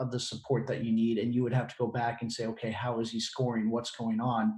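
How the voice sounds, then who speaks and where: This man speaks at a moderate pace in a medium pitch, his tone dark and mellow and somewhat breathy. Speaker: webinar host. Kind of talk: webinar Q&A.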